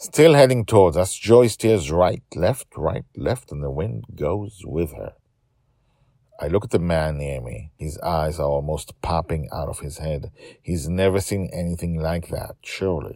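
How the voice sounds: Using a put-on character voice, a man speaks at a fairly slow pace in a low pitch, with a dark, mellow tone and lively intonation.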